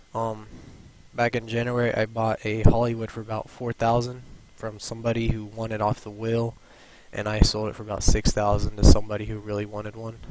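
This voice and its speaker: At a fairly quick pace, a man speaks with a medium pitch and monotone, flat intonation, his loudness rising and falling sharply. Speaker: gaming YouTuber. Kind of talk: tutorial. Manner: halting, stuttering.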